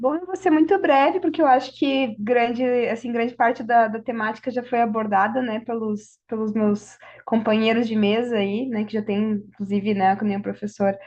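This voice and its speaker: Speaking with a Brazilian accent, a woman keeps a moderate pace, her fairly high pitch moving with ordinary variation. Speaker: law professor. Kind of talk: panel talk.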